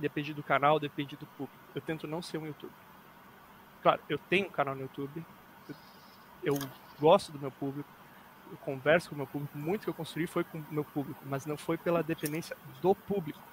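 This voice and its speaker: A man talks at a fairly quick pace in a fairly high pitch with fairly even intonation, long, frequent pauses and big swings in loudness. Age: 20s. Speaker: youtuber, arbitration entrepreneur. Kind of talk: casual chat.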